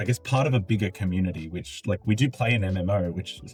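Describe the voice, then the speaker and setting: Speaking with an Australian accent, a man has a very deep, low pitch, a somewhat breathy voice and lively intonation. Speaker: gaming content creator. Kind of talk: video essay. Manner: casual, conversational.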